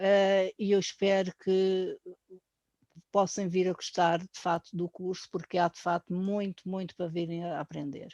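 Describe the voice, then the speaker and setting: A voice with a European Portuguese accent speaks at a fairly slow pace in a monotone, flat intonation. The tone is dark and mellow, and the sound is dry and close with no echo. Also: woman, medium pitch for a woman. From Portugal, Azores. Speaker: painter. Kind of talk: course presentation. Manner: hesitant, with fillers.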